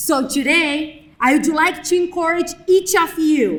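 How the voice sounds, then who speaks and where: Speaking with a non-native accent, a woman has a high pitch and ordinary pitch variation. Her pace is very slow. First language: not English. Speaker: graduate student speaker. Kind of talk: ceremony speech. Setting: graduation ceremony with audience.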